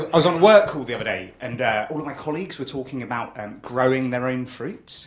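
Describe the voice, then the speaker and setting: With a British accent, a man talks very fast at medium pitch, barely pausing, his intonation lively. His loudness swings a lot, and there is noticeable background noise. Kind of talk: casual, conversational.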